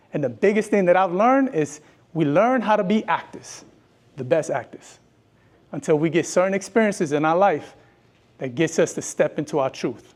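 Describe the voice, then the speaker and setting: A man with a strong New York accent, high-pitched and animated, with lively intonation, a moderate pace and long, frequent pauses, on a very clean recording with a silent background. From New York, Brooklyn. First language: bilingual Spanish and English. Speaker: educator and speaker. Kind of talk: motivational talk.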